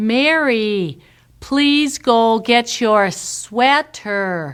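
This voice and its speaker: A female-sounding, put-on character voice speaks at a fairly high pitch and a very slow pace. The recording is very clean, with a silent background. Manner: slow, gentle.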